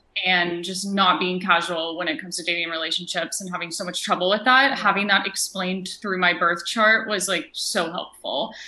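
A woman talks at a fairly quick pace with hardly any pauses. Her intonation is fairly even, and there is noticeable background noise. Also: medium pitch for a woman. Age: 20s. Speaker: astrologer. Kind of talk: casual interview.

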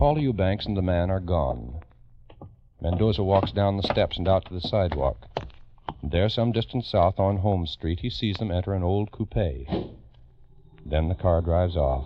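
With lively intonation and long, frequent pauses, a man talks in a very deep, low voice against noticeable background noise. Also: moderate pace. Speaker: radio narrator. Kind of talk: old-time radio drama narration. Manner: crisp, grave, dramatic mid-century radio announcer delivery, urgent and portentous.

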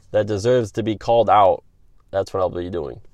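Here a man talks with an upstate New York accent. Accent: northeastern US (upstate New York). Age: 30s. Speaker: sports podcast host. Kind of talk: solo opinion podcast monologue.

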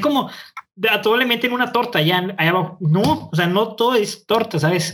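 In a raised, projected voice with a bright, sharp tone, a man speaks with ordinary pitch variation. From northern Mexico, Nuevo León. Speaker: podcast co-host, law student. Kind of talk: casual chat. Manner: fast.

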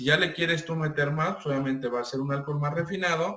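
A fairly high-pitched man at a fairly quick pace, with music in the background. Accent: Mexican. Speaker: mezcal producer. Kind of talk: interview. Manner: halting.

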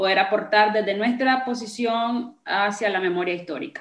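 Her voice has audible room echo around it. The woman's pitch is medium, with ordinary pitch variation. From Nicaragua. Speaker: podcast host. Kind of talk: interview.

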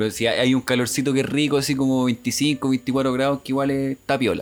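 Speaking with a Chilean accent, a man of medium pitch talks at a fairly quick pace. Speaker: podcast co-host. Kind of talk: casual chat.

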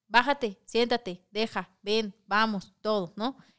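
Her sound dry and close with no echo, a woman with an unremarkable speaking voice talks at a fairly slow pace in a medium pitch with ordinary pitch variation. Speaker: podcast host. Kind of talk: casual chat podcast, live stream.

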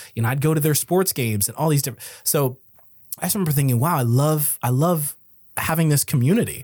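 A man's somewhat breathy voice with an American accent, fairly high pitch, ordinary pitch variation and a very fast pace. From US. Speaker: comedian and entertainer. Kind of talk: casual chat.

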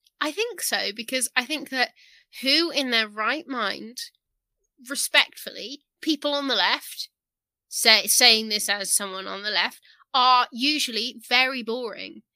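A woman's high, bright, sharp voice at a fairly slow pace, in a very clean recording with a silent background and a dry, close sound with no echo. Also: ordinary pitch variation. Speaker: co-host. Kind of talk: casual commentary.

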